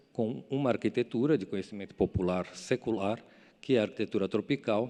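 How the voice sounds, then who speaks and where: With a dark, mellow tone, a man talks at a fairly quick pace using lively intonation. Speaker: architect. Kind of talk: lecture. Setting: stage with audience. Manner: fast; halting.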